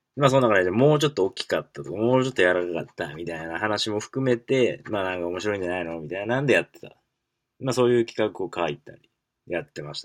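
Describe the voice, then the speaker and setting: Over a quiet background, a man talks at a very fast pace with a fairly low pitch and lively intonation. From Kansai, Japan. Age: 20s. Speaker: podcast host. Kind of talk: casual solo talk. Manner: halting, many fillers.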